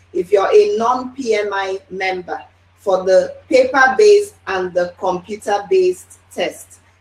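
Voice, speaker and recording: A woman's fairly high voice with ordinary pitch variation amid noticeable background noise. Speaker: project management trainer. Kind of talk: webinar presentation. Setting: online webinar.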